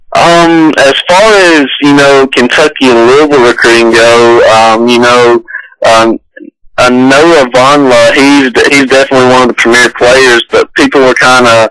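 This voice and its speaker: A man with an Alabama accent speaks at a moderate pace and a medium pitch. His tone is bright and sharp, with fairly even intonation and very even loudness. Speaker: basketball recruiting analyst. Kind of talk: radio interview.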